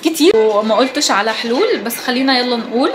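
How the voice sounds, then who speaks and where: Someone with an Egyptian accent speaks at a fairly quick pace with ordinary pitch variation, over noticeable background noise. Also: woman. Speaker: beauty and lifestyle vlogger. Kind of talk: casual advice talk. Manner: calm, soft-spoken; hesitant fillers.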